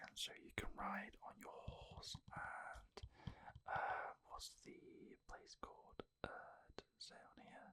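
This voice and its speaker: The voice is a whisper, delivered very slowly. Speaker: ASMR creator. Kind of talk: ASMR whispered talk about a game collection. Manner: whispered.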